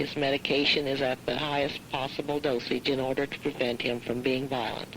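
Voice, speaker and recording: A woman with a Midwestern US accent, very deep and low in pitch, flat and monotone, at a moderate pace. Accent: US Midwest. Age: 60s. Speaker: farm wife and caregiver. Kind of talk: prepared statement read aloud. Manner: formal.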